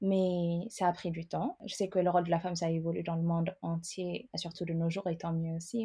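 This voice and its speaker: A woman's somewhat breathy voice, fairly low in pitch with a dark, mellow tone, fairly even intonation and a fairly quick pace, on a very clean recording with a silent background. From Ethiopia. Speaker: immigrant sharing her story. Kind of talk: interview.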